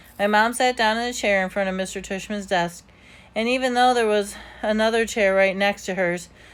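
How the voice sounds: The voice is a natural reading voice. It reads aloud.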